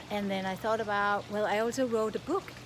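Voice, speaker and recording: A woman with a Danish accent, over noticeable background noise. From Denmark. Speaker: coach / online content creator. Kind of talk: casual vlog monologue. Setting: outdoors.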